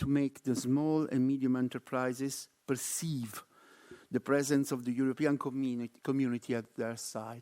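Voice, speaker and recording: In an Italian accent, a man speaks at a moderate pace with fairly even intonation, and the recording is very clean with a silent background and a dry, close sound with no echo. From Italy. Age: middle-aged. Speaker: research network coordinator. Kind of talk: conference presentation.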